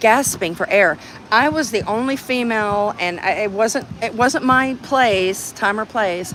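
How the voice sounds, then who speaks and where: A woman with an American accent, fairly high in pitch, fairly slow, with ordinary pitch variation and noticeable background noise. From Texas. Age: 60s. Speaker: activist livestreamer. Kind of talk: casual chat. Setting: outdoors. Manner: halting.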